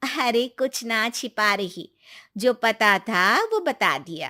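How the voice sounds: Putting on a character voice, a woman talks at a slow pace with a bright, sharp tone and a fairly high pitch that swings widely, on a very clean recording with a silent background.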